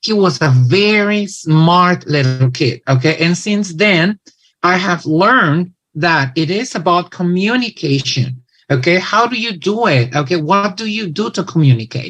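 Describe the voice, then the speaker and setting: Speaking with a Mexican accent, a man goes at a fairly slow pace. His pitch is high and his intonation lively. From Mexico. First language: Spanish. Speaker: English teacher and presenter. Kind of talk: conference talk. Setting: online event.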